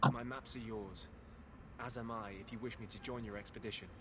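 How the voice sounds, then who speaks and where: A man puts on a character voice at a medium pitch. Loud background noise runs underneath. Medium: game stream. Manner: earnest, tormented.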